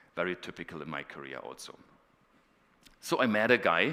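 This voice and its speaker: A man with a German accent, a bright, sharp tone and very wide pitch swings, on a very clean recording with a silent background. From northeast Germany. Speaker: professor. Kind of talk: conference talk.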